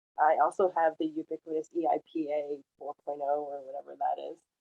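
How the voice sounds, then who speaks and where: A woman speaks with a French accent at a moderate pace. Her intonation is fairly even. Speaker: sign language interpreter. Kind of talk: panel discussion.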